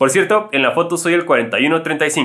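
High pitch from a man, swinging very widely up and down. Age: 30s. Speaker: running YouTuber. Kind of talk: reading aloud listener stories.

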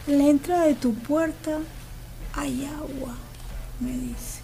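Audible room echo surrounds a woman who speaks at a very slow pace. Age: 50s. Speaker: local resident. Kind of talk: casual interview.

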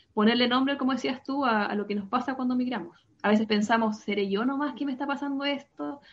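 Pitched high, a woman races along at a very fast pace. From Chile, Santiago. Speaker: psychologist. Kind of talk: explanatory interview.

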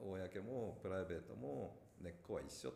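A man speaks with a very deep, low pitch and vocal fry. Audible room echo surrounds his voice. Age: 50s. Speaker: company founder and executive. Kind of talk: casual chat; reading aloud.

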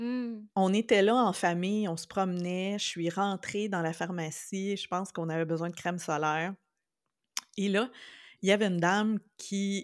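At a fairly slow pace and with fairly even intonation, the voice comes through in a very clean recording with a silent background. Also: woman. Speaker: podcast co-host. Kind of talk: casual chat.

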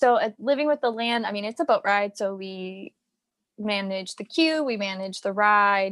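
With an unremarkable speaking voice, a woman talks at a fairly slow pace and medium pitch with lively intonation, heard dry and close with no echo over a quiet background. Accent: American. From Virginia, US. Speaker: former theme park worker and performer. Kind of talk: casual interview.

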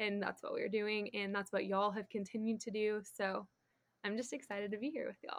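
A woman at a fairly high pitch, fairly quick and in a flat monotone. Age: 20s. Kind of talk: casual chat.

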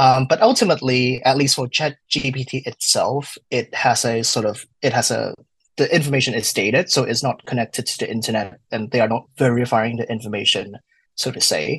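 Speaking at a moderate pace, a man uses a normal speaking voice at medium pitch with ordinary pitch variation. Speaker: wine student, study group moderator. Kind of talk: casual interview. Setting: video call.

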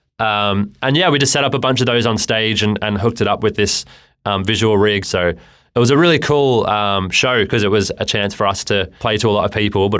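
A man with an Australian accent talks at a fairly quick pace in a fairly low pitch. His pitch varies in an ordinary way, and the recording is very clean with a silent background. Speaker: client manager and musician. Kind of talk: casual chat. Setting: studio.

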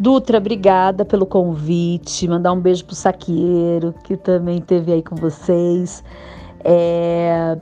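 Her voice is fairly low-pitched with a dark, mellow tone. The woman speaks at a very slow pace with fairly even intonation. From Osasco, São Paulo, Brazil. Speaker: actress and comedian. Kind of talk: interview.

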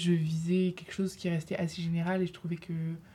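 A woman speaks with a fairly low pitch in a dark, mellow tone. Her delivery is somewhat breathy and monotone, with flat intonation. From Lille, northern France. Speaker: university student, association treasurer. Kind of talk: casual debate. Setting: studio.

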